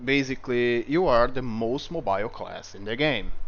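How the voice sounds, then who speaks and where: With a slight non-native accent, a man speaks at a fairly slow pace using lively intonation. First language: not English. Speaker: gaming video creator. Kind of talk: game tutorial review. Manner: casual, some hesitations.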